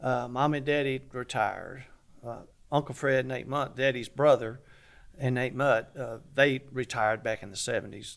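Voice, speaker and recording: A man with a Southern US accent, moderate pace and flat, monotone intonation. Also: medium pitch for a man. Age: 70s. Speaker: barbecue restaurant owner. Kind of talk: interview.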